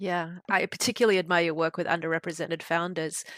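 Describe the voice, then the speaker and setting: Fairly quick speech from a woman with a fairly low pitch, in an Australian accent. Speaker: podcast host, accelerator executive. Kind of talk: interview podcast.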